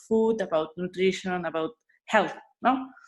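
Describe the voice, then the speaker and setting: A woman with a Spanish accent speaks at a fairly slow pace, her medium pitch showing ordinary pitch variation. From Spain, Asturias. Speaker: food blogger and influencer. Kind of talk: interview conversation. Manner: halting, searching for words.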